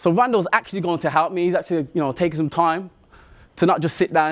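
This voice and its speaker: A man with a Birmingham accent speaks at a very fast pace in a fairly high pitch. His tone is animated, and the recording is very clean with a silent background. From Birmingham, England. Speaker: athlete and motivational speaker. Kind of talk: motivational talk.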